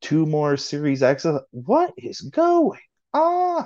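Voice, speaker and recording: Against a quiet background, a man with a normal speaking voice talks at a fairly high pitch with ordinary pitch variation. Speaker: podcast co-host. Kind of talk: casual chat.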